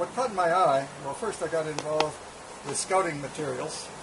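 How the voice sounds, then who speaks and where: A man's high-pitched voice with ordinary pitch variation at a moderate pace, with noticeable background noise and audible room echo. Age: 70s. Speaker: bushcraft instructor and author. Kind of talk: interview. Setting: seated interview on camera. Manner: halting, many fillers.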